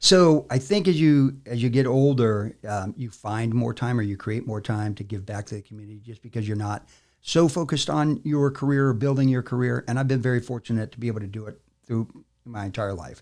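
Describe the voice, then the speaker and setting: A man with a plain, everyday voice, medium in pitch, at a fairly quick pace, ordinary pitch variation and big swings in loudness, on a very clean recording with a silent background. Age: 60s. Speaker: army veteran and business facilitator. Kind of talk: podcast interview. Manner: frequent fillers, casual.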